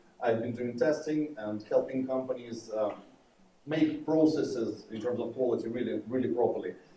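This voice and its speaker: At a moderate pace, a man with a medium-pitched voice, a dark, mellow tone and ordinary pitch variation speaks with audible room echo. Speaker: conference speaker, developer advocate. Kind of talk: conference talk. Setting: stage with audience. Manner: loud.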